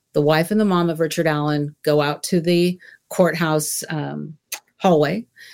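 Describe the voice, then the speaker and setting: A woman talks in a very deep, low voice. Her pace is fairly slow and her intonation fairly even. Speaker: TV journalist. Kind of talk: panel discussion.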